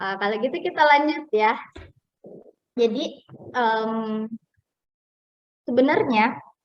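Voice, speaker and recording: Speech comes at a very slow pace with long, frequent pauses. The intonation is lively. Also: woman, high pitch for a woman. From Sulawesi, Bugis. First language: Bugis (speaking Indonesian). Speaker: webinar speaker. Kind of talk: webinar talk.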